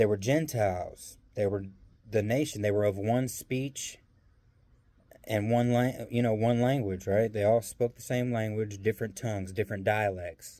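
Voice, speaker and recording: A man's fairly low, dark, mellow voice with a slight Southern US accent, fairly even intonation and a moderate pace in a very clean recording with a silent background. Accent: slight Southern country. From US South. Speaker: bible teacher. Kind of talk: casual bible teaching monologue. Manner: hesitant, many fillers.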